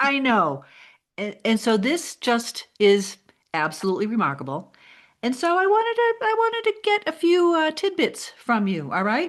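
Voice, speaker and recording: A woman's high-pitched voice at a moderate pace, full of very wide pitch swings. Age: 60s. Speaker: podcast host. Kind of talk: casual interview.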